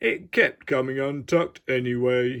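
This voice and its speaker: At a moderate pace, a man speaks in a put-on character voice of medium pitch. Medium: read story. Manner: cheerful, kindly.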